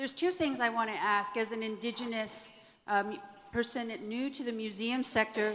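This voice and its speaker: A woman with a fairly high pitch talks at a moderate pace. Noticeable background noise runs underneath. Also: fairly even intonation. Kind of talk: audience question at a panel.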